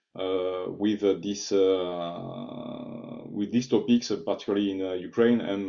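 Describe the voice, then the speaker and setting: A man with a French accent and fairly even intonation. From France. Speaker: technology executive, invited speaker. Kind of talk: online presentation. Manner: halting, many filler sounds.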